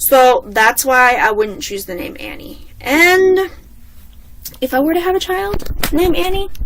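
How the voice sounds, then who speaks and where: Over noticeable background noise, a woman with a high pitch and an animated tone talks at a fairly slow pace, her pitch swinging very widely. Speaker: vlogger. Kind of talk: casual chat.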